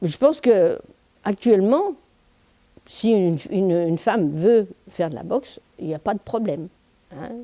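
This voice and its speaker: A woman at a medium pitch speaks fairly slowly with long, frequent pauses, her pitch swinging very widely and her loudness varying a lot. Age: 70s. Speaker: boxing club president. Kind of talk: interview testimony. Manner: hesitant, with fillers.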